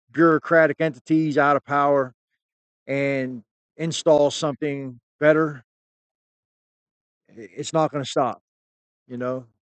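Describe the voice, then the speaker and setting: The delivery moves at a fairly slow pace. It comes with an American accent. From United States. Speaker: YouTube commentator on UFOs. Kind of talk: casual monologue. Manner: halting; casual, conversational.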